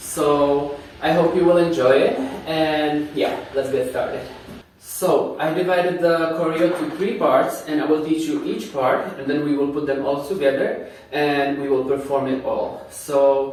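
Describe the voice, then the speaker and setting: Fairly slow, fairly even speech in a non-native accent, with audible room echo and noticeable background noise. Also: man. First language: not English. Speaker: dance instructor. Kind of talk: tutorial.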